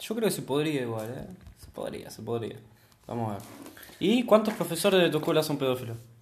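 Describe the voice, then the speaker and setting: Speaking fairly quickly with an Rioplatense accent, a man with a fairly high pitch makes very wide pitch swings and big swings in loudness, leaving long, frequent pauses amid audible room echo. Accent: Argentine Rioplatense Spanish. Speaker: podcast co-host. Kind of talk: casual chat.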